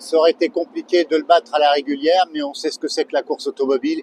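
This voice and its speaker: A high-pitched male voice with ordinary pitch variation, recorded dry and close with no echo. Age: 60s. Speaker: amateur racing driver. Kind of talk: interview.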